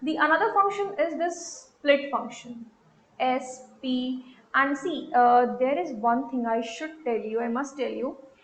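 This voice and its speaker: With audible room echo, a woman speaks at a fairly slow pace in a high voice with ordinary pitch variation. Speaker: programming teacher. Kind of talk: tutorial.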